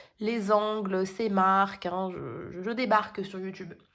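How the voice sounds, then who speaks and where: A woman speaks at a very slow pace. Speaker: tarot card reader. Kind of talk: tarot reading video. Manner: hesitant, many fillers.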